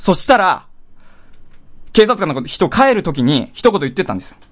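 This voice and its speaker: A man talks at a fairly quick pace with a high pitch. His pitch swings very widely. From Hokkaido, Japan. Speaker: podcast host. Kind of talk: solo comedic storytelling.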